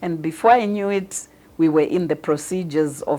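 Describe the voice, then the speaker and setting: Her tone is dark and mellow. This woman speaks with ordinary pitch variation. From Zimbabwe. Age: 60s. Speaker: patient. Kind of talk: testimony.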